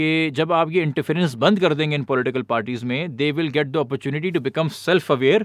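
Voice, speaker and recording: His pitch sits fairly high and he keeps a moderate pace. This man uses a plain, everyday voice. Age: 30s. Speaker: politician and activist. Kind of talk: casual chat.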